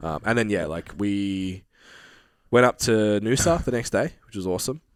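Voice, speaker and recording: With an Australian accent, a man talks in a fairly low pitch at a moderate pace, his intonation lively. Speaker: fitness podcast co-host. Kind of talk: casual chat.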